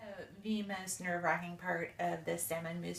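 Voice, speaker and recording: A woman with a fairly low pitch is heard with audible room echo. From US West Coast, Berkeley, California. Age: 40s. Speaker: home cook. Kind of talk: cooking tutorial. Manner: casual, with filler ums.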